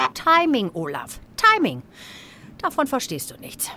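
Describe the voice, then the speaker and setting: In a dry, close recording with no echo, a woman speaks at a high pitch. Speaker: comedian doing political impressions. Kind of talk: satirical sketch.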